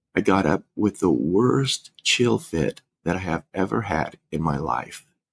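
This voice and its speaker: A man's very deep, low voice with vocal fry and very wide pitch swings, dry and close with no echo. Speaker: funeral director, podcast co-host. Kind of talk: casual chat. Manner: breathing heavy.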